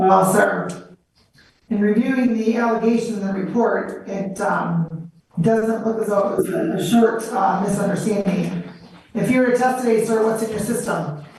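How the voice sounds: A woman's medium-pitched, slightly mellow voice at a moderate pace, with ordinary pitch variation and strong room echo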